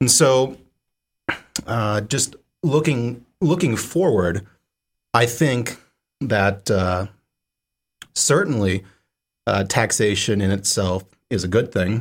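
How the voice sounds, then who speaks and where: At a very slow pace, a man with an American accent speaks with lively intonation and long, frequent pauses. The recording is very clean, with a silent background. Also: medium pitch for a man. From Idaho, US. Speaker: student senator. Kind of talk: casual discussion.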